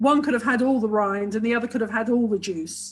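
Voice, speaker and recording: Somewhat breathy, a woman with a British accent speaks at a fairly high pitch with ordinary pitch variation. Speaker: sex and relationship therapist, author. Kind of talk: webinar interview. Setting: online video webinar. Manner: enthusiastic, talks a lot.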